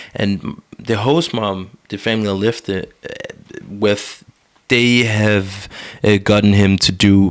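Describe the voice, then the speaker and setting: A man with an American accent at a fairly slow pace, fairly low pitch and fairly even intonation. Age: young. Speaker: podcast co-host, commercial pilot. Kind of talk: casual chat. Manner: halting.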